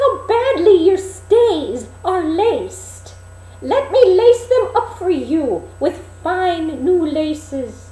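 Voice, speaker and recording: In a put-on character voice, a woman speaks very slowly in a squeaky, extremely high pitch with very wide pitch swings, over light background noise. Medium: read story. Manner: scheming.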